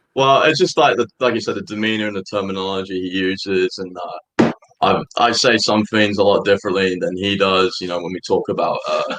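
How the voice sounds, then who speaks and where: With an English accent, a man speaks at a fairly quick pace. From England. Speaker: college soccer player. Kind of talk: radio interview. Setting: live studio show.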